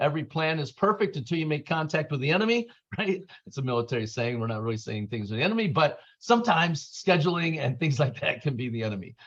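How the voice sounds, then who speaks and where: A man talks at a very fast pace with a fairly high, somewhat breathy voice, an animated tone and very wide pitch swings. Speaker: real estate agent and military network leader. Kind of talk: presentation to colleagues.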